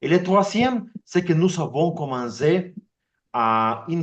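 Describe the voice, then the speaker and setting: A man's fairly high voice with very wide pitch swings, at a very slow pace. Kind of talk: online meeting presentation. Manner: halting, many repetitions.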